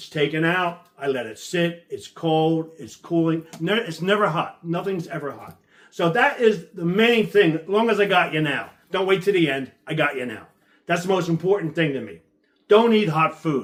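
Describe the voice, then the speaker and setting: The delivery is animated, with lively intonation and big swings in loudness. The pace stays moderate. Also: man, high pitch for a man. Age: 70s. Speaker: health enthusiast interviewee. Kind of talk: interview monologue. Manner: repetitive, stammering.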